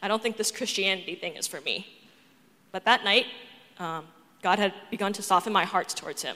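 A woman with an American accent speaks at a medium pitch and a fairly quick pace, her tone bright and sharp with ordinary pitch variation. She leaves long, frequent pauses. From Boston, US. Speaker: church member giving testimony. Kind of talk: testimony. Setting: church with congregation. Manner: reading from script.

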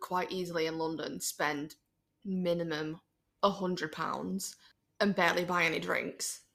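The tone of this woman's voice is bright and sharp, at a medium pitch. The recording is very clean, and the background is silent. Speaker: podcast guest. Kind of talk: casual chat.

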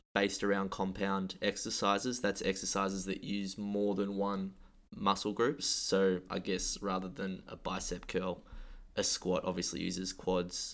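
A fairly slow delivery, the recording very clean and the background silent. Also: man. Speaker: gym coach and podcast host. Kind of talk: casual chat. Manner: halting, stumbling.

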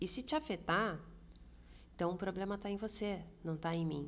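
Vocal fry runs through a woman's voice as she talks at a moderate pace. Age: 30s. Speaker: podcast host. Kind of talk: solo podcast monologue.

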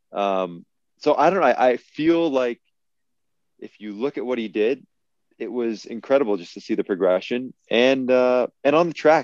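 A man with a Canadian accent speaks in a plain, everyday voice, the sound dry and close with no echo. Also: quiet background. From Canada. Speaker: retired pro football player. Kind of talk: casual chat.

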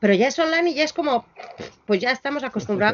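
A woman speaks with very wide swings in pitch. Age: 50s. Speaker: music venue programmer and lecturer. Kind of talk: interview. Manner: halting, with many repetitions.

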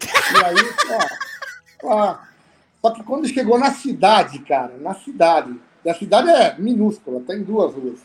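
A man's high-pitched voice at a fairly slow pace, with very wide pitch swings, big swings in loudness and long, frequent pauses. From Brazil, São Paulo. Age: 50s. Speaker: auto repair shop owner. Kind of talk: casual chat.

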